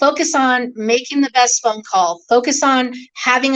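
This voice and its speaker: A loud woman with an American accent talks at a high pitch with ordinary pitch variation. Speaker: car salesperson. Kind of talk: interview.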